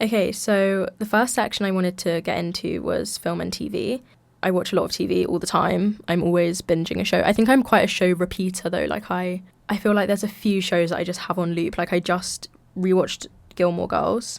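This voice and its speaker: Over a very clean recording with a silent background, a woman with a London accent talks at a fairly quick pace in a medium pitch, with vocal fry and fairly even intonation. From London, England. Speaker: podcast host, university student. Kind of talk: casual chat. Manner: chatty, filler-heavy.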